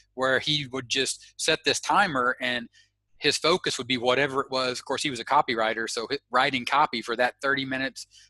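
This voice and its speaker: Talking at a very fast pace with an Arkansas accent, a man has a medium-pitched voice with a bright, sharp tone against a quiet background. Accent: Southern US (Arkansas). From US South, Arkansas. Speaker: internet marketer. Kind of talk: interview. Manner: halting.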